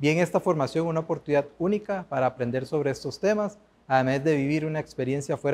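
Fairly quick talking from a man, with ordinary pitch variation. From Costa Rica. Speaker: former master's student. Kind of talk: testimonial. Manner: formal.

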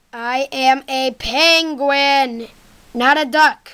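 A female-sounding cartoonish character voice, high in pitch, at a very slow pace. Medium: puppet show. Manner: indignant, correcting.

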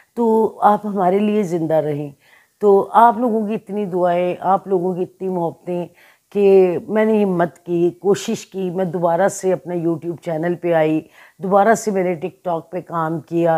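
A woman talks at a very slow pace in a dark, mellow tone. Her intonation stays fairly even against a quiet background. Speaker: channel host. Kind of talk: casual vlog chat. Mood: grieving, emotional. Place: home room. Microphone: phone near.

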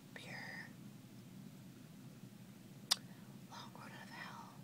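A woman is whispering. She is soft-spoken. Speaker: vlogger. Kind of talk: casual vlog chat, Q&A tag. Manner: soft close whisper. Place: home room. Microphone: webcam.

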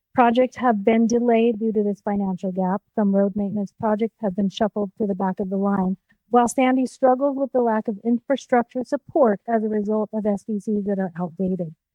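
This woman has a normal speaking voice, pitched fairly high, and talks at a fairly quick pace with hardly any pauses. Her intonation stays fairly even. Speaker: city council candidate. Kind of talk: candidate forum answer.

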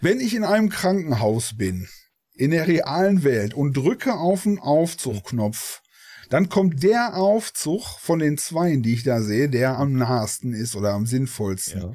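The tone is dark and mellow, and the pitch swings very widely. The pace is fairly slow. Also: man, fairly high pitch for a man, very clean recording, silent background. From Ruhr area, Germany. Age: 40s. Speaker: gaming streamer. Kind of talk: casual interview.

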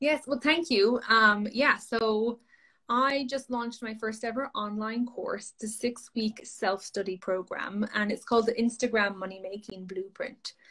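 In an Irish accent, a woman with a fairly high pitch talks at a fairly slow pace in a bright, sharp tone against a quiet background. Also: ordinary pitch variation. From Ireland. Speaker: social media coach. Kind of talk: interview. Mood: friendly, upbeat. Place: home room. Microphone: video call.

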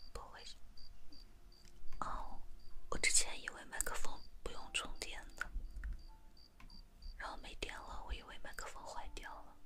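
A woman talks at a very slow pace, leaving long, frequent pauses, while loud background noise fills the recording. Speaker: ASMR livestreamer. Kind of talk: casual livestream chat. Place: home room. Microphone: handheld.

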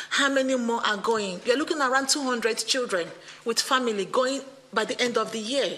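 With a high pitch and ordinary pitch variation, a woman speaks at a moderate pace. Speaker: tenant resident. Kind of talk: testimony. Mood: earnest, appealing. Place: meeting room. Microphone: podium.

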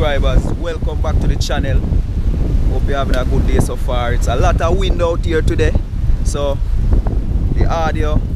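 Loud background noise surrounds a man whose voice is recorded with a dry sound and no echo. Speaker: fishing vlogger. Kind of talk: casual vlog chat. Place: beach. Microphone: phone near.

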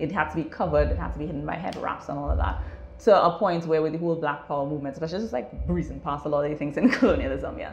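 A woman talking at a very fast pace, with music in the background and audible room echo. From Trinidad and Tobago. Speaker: natural hair salon co-owner. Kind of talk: interview. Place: shop. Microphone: lapel.

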